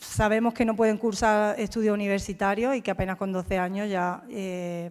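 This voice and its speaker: A plain, everyday voice from a woman, medium in pitch, fairly slow and fairly even in intonation, on a very clean recording with a silent background. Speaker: military officer. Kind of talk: talk.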